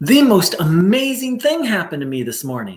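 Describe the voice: Using a put-on character voice, a man speaks at a high pitch with very wide pitch swings and a moderate pace.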